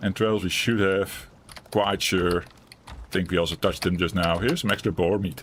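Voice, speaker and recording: A loud man with a fairly low pitch and lively intonation. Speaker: gaming streamer. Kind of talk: live gameplay commentary. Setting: live stream. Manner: chill, relaxed.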